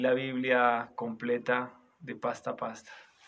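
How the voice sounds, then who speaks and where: A man with a normal speaking voice, medium pitch and fairly slow pace. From Colombia, Boyacá. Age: 30s. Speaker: pastor. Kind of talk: interview. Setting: recorded at night.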